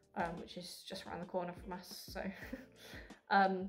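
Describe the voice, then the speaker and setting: With music in the background, the speaker talks at a moderate pace in an Essex accent. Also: woman. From Essex, England. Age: 20s. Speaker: university student. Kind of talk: casual talk to camera.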